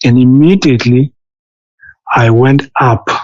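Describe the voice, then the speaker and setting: The pace of this man is very slow. His pitch is medium. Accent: non-native. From South Africa. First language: not English. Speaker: former assistant pastor. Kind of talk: testimony. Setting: interview. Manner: halting.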